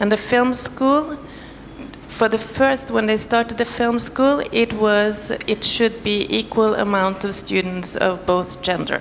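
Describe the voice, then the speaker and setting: Over noticeable background noise, the voice keeps very even loudness and ordinary pitch variation. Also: woman, fairly high pitch for a woman, fairly slow pace. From Norway. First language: Norwegian. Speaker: panelist, film professional. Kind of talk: panel discussion. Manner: halting.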